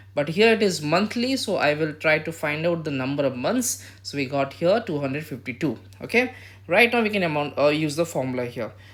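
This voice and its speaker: A man's fairly high voice, fairly quick in pace, with very wide pitch swings. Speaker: math teacher. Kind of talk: tutorial. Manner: hesitant, with fillers.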